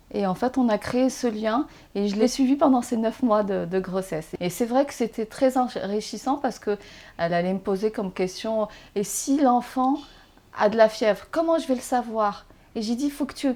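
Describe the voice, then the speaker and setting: Her tone dark and mellow, a woman speaks at a fairly high pitch and a moderate pace with ordinary pitch variation and big swings in loudness. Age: 40s. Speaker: blind mother, interviewee. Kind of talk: interview. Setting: at home. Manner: animated.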